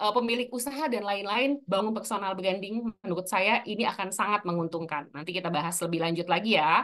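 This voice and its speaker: A woman speaks with lively intonation and a bright, sharp tone. The background is quiet. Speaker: personal branding speaker; speaker. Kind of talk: webinar talk. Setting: video call. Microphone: video call.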